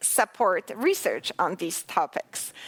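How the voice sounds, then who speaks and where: A woman speaks with a Polish accent. The recording is very clean, with a silent background. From Poland. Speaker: researcher. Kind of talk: lecture.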